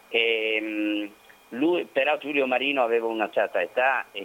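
Speaking at a fairly slow pace, a man at medium pitch has a plain, everyday voice. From Vittorio Veneto, Veneto. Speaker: historian and researcher. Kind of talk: interview about history. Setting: phone call.

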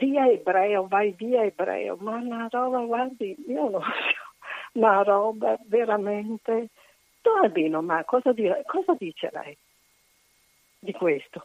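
Lively intonation runs through very slow speech broken by long, frequent pauses. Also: woman, fairly high pitch for a woman. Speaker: caller. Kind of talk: casual chat. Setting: phone call.

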